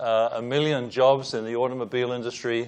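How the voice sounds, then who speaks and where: With a British accent, a man speaks at a medium pitch and with fairly even intonation. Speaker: engineering professor, panelist. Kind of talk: panel presentation with slides.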